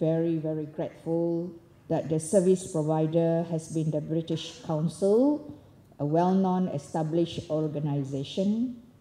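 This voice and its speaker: The woman's pitch is fairly low and her intonation fairly even. She speaks at a fairly slow pace. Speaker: government education official giving closing speech. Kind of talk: ceremonial speech.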